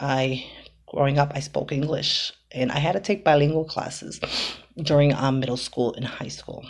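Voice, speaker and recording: With an American accent, a woman with a very deep, low pitch speaks at a moderate pace. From Boston, US. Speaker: home cooking vlogger. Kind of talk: casual vlog talk. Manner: halting, many fillers.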